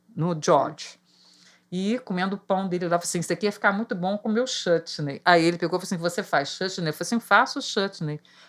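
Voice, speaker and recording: A woman speaks at a medium pitch with ordinary pitch variation and a very fast pace. The recording is very clean, with a silent background. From Rio de Janeiro, Brazil. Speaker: market vendor. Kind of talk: casual chat.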